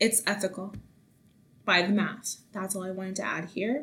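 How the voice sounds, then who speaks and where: The woman's voice is somewhat breathy. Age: 20s. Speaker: podcast host. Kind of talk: casual monologue.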